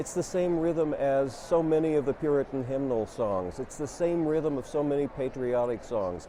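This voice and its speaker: A man with a Midwestern accent, fairly high-pitched, at a moderate pace with lively intonation, over noticeable background noise. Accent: American Midwestern. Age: 60s. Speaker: poet and professor. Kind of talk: personal reflection on a poem; reading poetry aloud. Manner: hesitant, with frequent ums.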